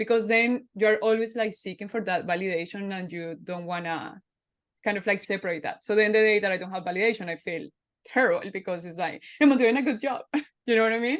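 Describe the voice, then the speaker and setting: Against a quiet background, a woman with a Spanish accent talks at a very fast pace. Her pitch sits in the medium range with ordinary variation. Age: 30s. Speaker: podcast host. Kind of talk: casual interview chat.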